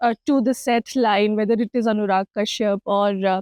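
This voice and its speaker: A woman's dark, mellow tone at a moderate pace, in a dry, close sound with no echo. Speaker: interviewer. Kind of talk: interview questions.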